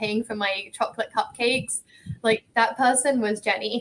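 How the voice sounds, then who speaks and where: A woman with an English accent speaks at a moderate pace in a fairly high pitch, her intonation flat and monotone. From England. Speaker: ocean rower. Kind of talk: casual interview.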